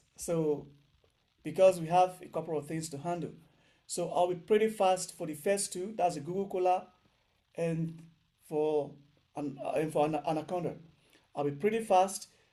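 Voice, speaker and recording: A man's high-pitched voice, dark and mellow in tone, at a moderate pace with long, frequent pauses, fairly even intonation and audible room echo. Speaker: programming instructor. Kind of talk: online lecture. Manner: loud.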